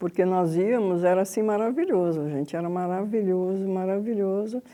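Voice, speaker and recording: Speaking at a moderate pace, a woman has a dark, mellow tone, a medium pitch and ordinary pitch variation. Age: 70s. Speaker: radio collector. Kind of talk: interview.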